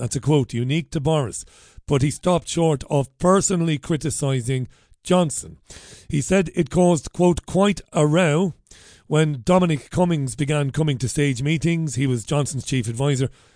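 A man speaks with an Irish accent in a fairly high pitch. The background is quiet. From Ireland. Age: 40s. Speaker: radio host. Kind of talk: talk radio chat. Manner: animated.

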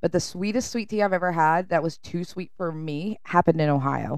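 In a very clean recording with a silent background, a woman with a Southern US accent and a fairly low pitch speaks at a fairly quick pace. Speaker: podcast co-host. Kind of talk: casual chat.

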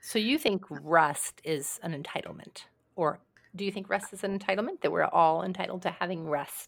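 In a plain, everyday voice, a woman speaks at a medium pitch and a moderate pace, with ordinary pitch variation. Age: 60s. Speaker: podcast host and leadership consultant. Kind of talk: casual chat.

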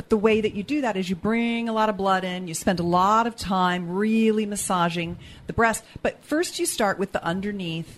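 Speaking at a moderate pace, a woman has a plain, everyday voice of medium pitch with ordinary pitch variation. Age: 50s. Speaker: sex educator and author. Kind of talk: casual chat; tutorial.

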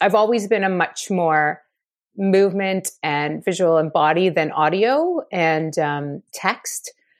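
An unremarkable speaking voice with a Canadian accent moves at a fairly slow pace with lively intonation against a quiet background. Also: woman. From Ottawa, Canada. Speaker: theatre director and actor. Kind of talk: interview.

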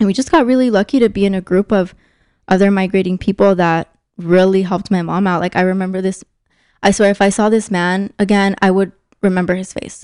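With an American accent, a woman speaks in a plain, everyday voice at medium pitch and a fairly quick pace, her intonation fairly even. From Mexico (Sinaloa) then Southern Arizona. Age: 20s. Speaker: human rights nonprofit worker. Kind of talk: casual interview.

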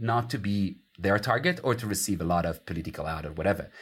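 With an Italian accent, a man speaks at a fairly low pitch in a very clean recording with a silent background. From Italy. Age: 40s. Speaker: academic author. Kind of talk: interview.

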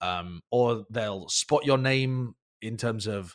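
The speaker has a British accent, heard on a very clean recording with a silent background and a dry, close sound with no echo. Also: man. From Britain. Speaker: esports caster and analyst. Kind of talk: casual interview chat.

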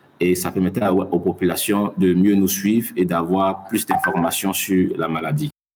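A man's very deep, low voice unfolds at a fairly slow pace. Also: fairly even intonation, hardly any pauses. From Mali. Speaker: science journalist. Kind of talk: interview. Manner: halting.

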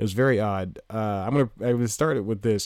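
On a very clean recording with a silent background, the speaker talks at a fairly quick pace with ordinary pitch variation. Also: man. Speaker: podcast host and stand-up comedian. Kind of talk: casual solo monologue. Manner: loud; rambling with frequent laughs.

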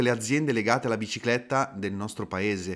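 This man has a plain, everyday voice at medium pitch. His intonation is lively. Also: very clean recording, silent background. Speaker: podcast host. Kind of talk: interview, conversational.

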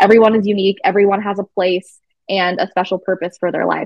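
The delivery comes at a very fast pace. Its intonation is monotone and flat. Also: woman. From Arizona. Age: 20s. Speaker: pageant titleholder. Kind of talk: interview.

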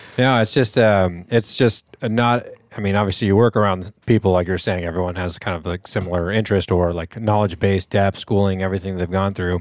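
A man with a plain, everyday voice speaks at a fairly quick pace with hardly any pauses, his fairly low pitch keeping a fairly even intonation. The sound is dry and close, with no echo. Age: 20s. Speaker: podcast co-host. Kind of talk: casual chat.

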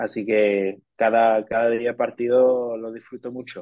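Here is a man speaking. His voice sits at a medium pitch. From US, Detroit. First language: English (speaking Spanish). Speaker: sports sponsorship professional. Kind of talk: interview. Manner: halting, with frequent repetitions.

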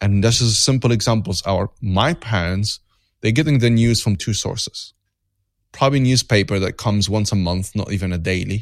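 Against a quiet background, the speaker holds a moderate pace with ordinary pitch variation. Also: man, fairly low pitch for a man. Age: 30s. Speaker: podcast host. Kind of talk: interview. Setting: video call. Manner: halting.

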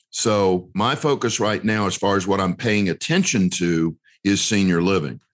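A man with an American accent and a fairly low pitch speaks in an unremarkable speaking voice at a moderate pace, with ordinary pitch variation and very even loudness against a quiet background. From US South, North Carolina. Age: 50s. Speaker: real estate investor and educator. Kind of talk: interview.

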